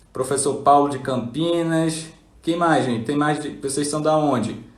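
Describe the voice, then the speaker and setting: Fairly high-pitched male voice at a fairly slow pace, fairly even intonation and audible room echo. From northern Brazil (Belém, Pará) then Paraíba. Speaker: neurologist. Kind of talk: live stream chat. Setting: Instagram live.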